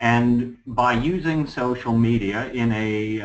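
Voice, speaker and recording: An ordinary speaking voice, a man with an American accent at medium pitch and ordinary pitch variation. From Los Angeles, California. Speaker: real estate agent. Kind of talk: presentation.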